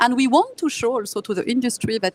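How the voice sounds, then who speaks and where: The sound is dry and close with no echo as a woman speaks at a moderate pace with ordinary pitch variation. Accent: French. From France. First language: French. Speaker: tech company engineer, author. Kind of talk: conference interview. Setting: live conference booth.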